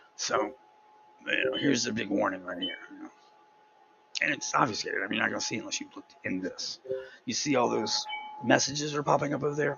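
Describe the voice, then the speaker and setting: A man speaks at a very fast pace yet with long, frequent pauses. Noticeable background noise runs underneath. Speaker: tech video creator. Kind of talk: screen-recorded tutorial walkthrough. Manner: casual, halting with fillers.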